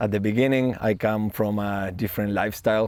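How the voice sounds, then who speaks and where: A man with a Spanish accent speaks at a moderate pace and fairly low pitch in a monotone, flat intonation. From Argentina, Buenos Aires. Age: 20s. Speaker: van-life traveler. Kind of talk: documentary interview.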